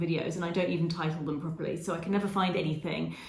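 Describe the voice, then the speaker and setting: In an English accent, a woman speaks amid noticeable background noise. Room echo is audible as well. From England. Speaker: travel vlogger. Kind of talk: casual Q&A monologue.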